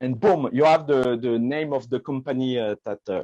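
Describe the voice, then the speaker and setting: A man speaks with a French accent. The sound is dry and close, with no echo. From France. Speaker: magician. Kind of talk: product demo in live video chat. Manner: halting, many fillers.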